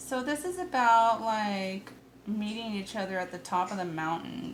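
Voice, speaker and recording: A woman at medium pitch with ordinary pitch variation and audible room echo. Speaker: tarot reader. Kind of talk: tarot reading. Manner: casual, chatty.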